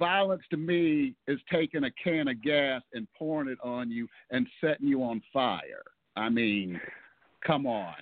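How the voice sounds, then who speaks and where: A man with an American accent, lively intonation and a fairly slow pace. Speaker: pro wrestler. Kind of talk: casual interview.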